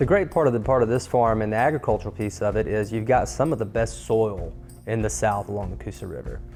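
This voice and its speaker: With music in the background, a man delivers his words very quickly. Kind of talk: promotional property walkthrough, casual talk to camera.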